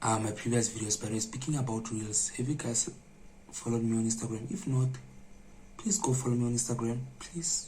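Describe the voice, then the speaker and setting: Amid noticeable background noise, a man at a medium pitch talks at a fairly quick pace with fairly even intonation and long, frequent pauses. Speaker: vlogger. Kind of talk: vlog to camera. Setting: dark room at night, indoors. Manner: soft-spoken.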